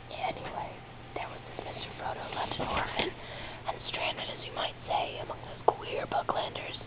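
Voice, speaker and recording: Noticeable background noise surrounds someone whispering at a moderate pace. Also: woman. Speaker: ASMR whisper creator. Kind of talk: whispered book reading. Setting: recorded at home with rainstorm and thunder audible. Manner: whispered, soft-spoken.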